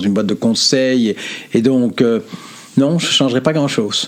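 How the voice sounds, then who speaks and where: A man speaks fairly slowly with ordinary pitch variation, noticeable background noise behind him. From Belgium. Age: 70s. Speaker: philosopher and consultant. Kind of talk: interview.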